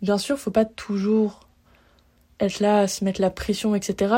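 A woman's somewhat breathy voice with a dark, mellow tone, in a very clean recording with a silent background. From France, Lyon. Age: 20s. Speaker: podcaster, student. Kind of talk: personal monologue. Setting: laundry room of an apartment. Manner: hesitant.

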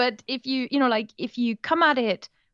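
A speaker with a German accent uses ordinary pitch variation, and the sound is dry and close with no echo. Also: woman. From Germany, Moselle Valley. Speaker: language tutor and podcaster. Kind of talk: interview conversation. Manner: animated.

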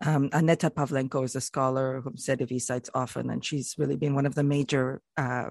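A woman's very deep, low voice at a fairly quick pace, fairly even in intonation, with a dry, close sound and no echo. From Canada. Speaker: writer on multilingualism. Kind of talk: interview about a book.

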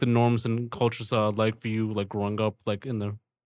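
A man's fairly low, slightly mellow voice at a fairly quick pace, with little pitch movement, in a very clean recording with a silent background

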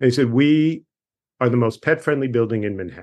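A man with a Long Island accent and a medium pitch, very fast pace, ordinary pitch variation, quiet background. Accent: Long Island New York. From Long Island, New York. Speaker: author and humorist. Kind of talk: casual interview chat. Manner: joking, animated.

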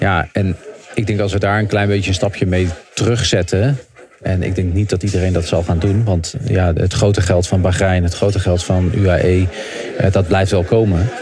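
Against noticeable background noise, a man with a very deep, low pitch speaks at a moderate pace with fairly even intonation and very even loudness. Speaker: cycling pundit. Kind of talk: casual chat. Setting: remote from a busy hotel lobby. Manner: halting.

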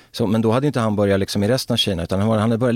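A man's fairly low voice with ordinary pitch variation, on a very clean recording with a silent background. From Sweden, Örebro. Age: 50s. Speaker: former footballer. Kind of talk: casual interview.

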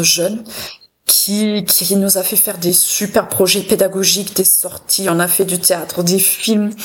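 Fairly even intonation at a fairly slow pace. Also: woman. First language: German (speaking French). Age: 40s. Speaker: cultural institute director. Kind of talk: radio interview.

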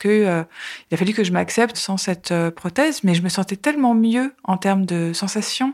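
Over a very clean, silent background, a woman speaks at a moderate pace with a medium pitch and ordinary pitch variation. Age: 40s. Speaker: journalist sharing cancer testimony. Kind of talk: testimony. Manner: hesitant, many filler sounds.

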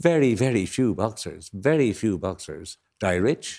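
Recorded very cleanly against a silent background, a man speaks with an Irish accent. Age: 70s. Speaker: panel guest commentator. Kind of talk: panel discussion.

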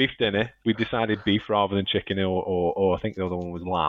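In a Staffordshire accent, a man speaks at a fairly quick pace with a fairly low pitch and fairly even intonation. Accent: Stoke-on-Trent, Staffordshire. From Stoke-on-Trent, England. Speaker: podcast host and editor. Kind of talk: casual chat, podcast. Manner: chatty, jokey.

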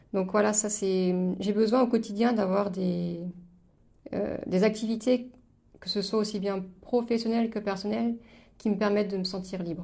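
A woman speaks at a fairly slow pace with long, frequent pauses and audible room echo around her. Her dark, mellow tone sits at a medium pitch with monotone, flat intonation. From eastern France, Moselle. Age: 30s. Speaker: podcast guest sharing life story. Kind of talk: casual interview chat. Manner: hesitant, many fillers and repetitions.

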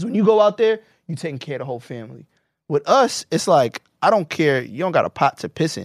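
A man talks at a very fast pace with a fairly high pitch, very wide pitch swings and big swings in loudness. The sound is dry and close with no echo, on a very clean recording with a silent background. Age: 30s. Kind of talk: casual chat.

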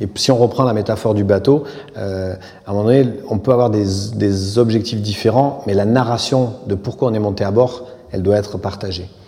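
A man with a fairly low pitch speaks at a moderate pace in fairly even intonation. Audible room echo and noticeable background noise surround him. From southern France, Aveyron. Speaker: architect. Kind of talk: public interview on stage. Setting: theatre stage.

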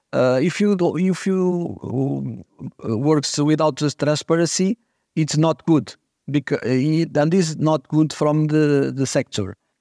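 A man with a Portuguese accent speaks at a fairly slow pace in a fairly high pitch with a dark, mellow tone and ordinary pitch variation. The sound is dry and close with no echo, and the loudness is very even. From Portugal. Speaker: optician business founder. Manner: halting.

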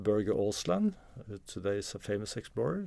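At a moderate pace, a man with a Norwegian accent speaks in a fairly low pitch with a dark, mellow tone on a very clean recording with a silent background. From Norway, Oslo. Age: 50s. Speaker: explorer and author. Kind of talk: interview conversation. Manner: halting with repetitions.

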